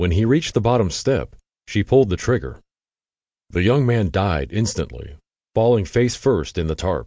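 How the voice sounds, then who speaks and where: A man with a fairly low pitch and a dark, mellow tone speaks at a moderate pace with vocal fry, very wide pitch swings and long, frequent pauses over a quiet background. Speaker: audiobook narrator. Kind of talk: dramatic true-crime audiobook narration. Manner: tense, gripping narration with voiced dialogue.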